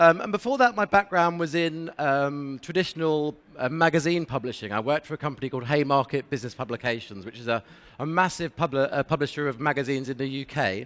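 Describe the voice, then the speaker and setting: At a very fast pace, a man with a British accent speaks at a fairly high pitch with ordinary pitch variation. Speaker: sales manager at an affiliate network, conference speaker. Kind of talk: conference presentation.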